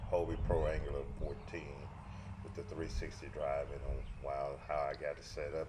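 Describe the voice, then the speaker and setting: A man keeps a moderate pace as audible room echo and noticeable background noise surround him. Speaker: fishing vlogger. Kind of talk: tutorial. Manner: halting, many fillers; mumbling at times.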